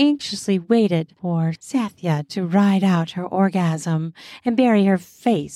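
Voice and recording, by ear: A natural voice reading aloud, with ordinary pitch variation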